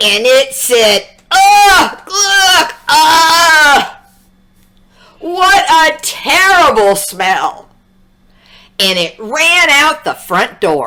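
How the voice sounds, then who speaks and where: A woman projects her extremely high-pitched voice in a bright, sharp tone, her pitch swinging very widely. She speaks very slowly, with long, frequent pauses. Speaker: English teacher. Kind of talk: children's read-aloud story. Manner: upbeat, friendly.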